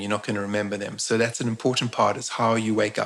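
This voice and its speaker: There is noticeable background noise as a man talks with fairly even intonation. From South Africa, Eastern Cape. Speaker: shaman and spiritual teacher. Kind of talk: interview on a live stream. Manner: halting, frequent word repetitions.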